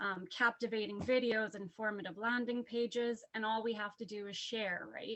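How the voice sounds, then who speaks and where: The pace of this woman's speech is moderate. She keeps her intonation fairly even. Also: fairly high pitch for a woman, hardly any pauses. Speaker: network marketing associate. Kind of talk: testimony. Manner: shaky voice.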